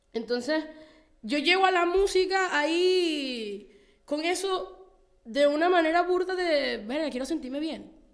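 A woman's extremely high-pitched voice with lively intonation, fairly slow pace and audible room echo. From Venezuela, Margarita island. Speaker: rapper and singer. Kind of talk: casual interview. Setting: studio.

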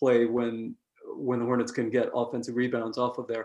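Very fast speech from a man with an American accent. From New York. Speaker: basketball analyst. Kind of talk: casual chat.

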